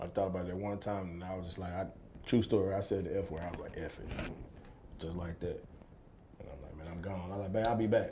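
With an American accent, a man talks at a very fast pace in a very deep, low, dark and mellow voice that is somewhat breathy, with fairly even intonation, big swings in loudness and audible room echo. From East Texas. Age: 30s. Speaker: former pro football player and entrepreneur. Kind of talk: casual interview chat.

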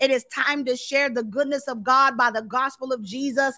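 A woman speaks loudly at a moderate pace, her high-pitched voice bright and sharp with a passionate tone. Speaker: preacher. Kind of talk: sermon. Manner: loud, passionate, boisterous; animated, shouting when stirred in spirit.

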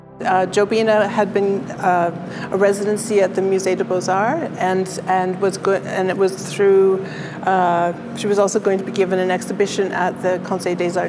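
With a Canadian accent and a medium pitch, a woman speaks against noticeable background noise. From Ontario, Canada (Peterborough). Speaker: art curator and gallery director. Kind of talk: interview. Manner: halting, many repetitions.

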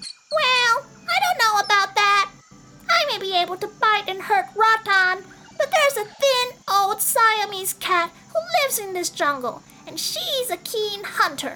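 A woman's squeaky, put-on character voice, extremely high in pitch, at a fairly slow pace. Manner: nervous.

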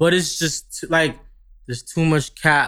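A man with a New York accent. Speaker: record label radio promotion exec. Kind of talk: casual interview. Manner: casual, conversational.

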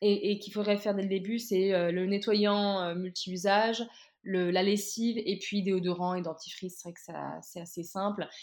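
This woman's pitch sits in the middle, and her pace is moderate. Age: 20s. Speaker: recent master's graduate, zero-waste Instagram creator. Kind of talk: casual interview. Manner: halting, many fillers.

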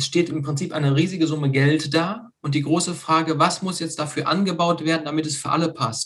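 A man's normal speaking voice, fairly high in pitch, at a fairly quick pace with fairly even intonation and hardly any pauses. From Germany, Lower Rhine (Meerbusch). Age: 30s. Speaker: hobby farmer, association founder. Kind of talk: casual interview.

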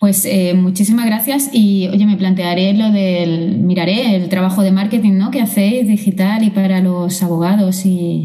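A woman talks at a fairly slow pace with hardly any pauses, her medium pitch carried in fairly even intonation and very even loudness. Noticeable background noise and audible room echo surround her. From Andalusia, Málaga. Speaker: corporate lawyer. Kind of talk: casual interview. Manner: hesitant, many fillers.

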